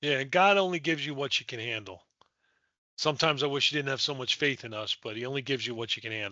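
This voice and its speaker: An unremarkable speaking voice from a man with an American accent, medium in pitch, at a fairly quick pace. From Delaware, US. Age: 60s. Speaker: nonprofit founder. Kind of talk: casual interview.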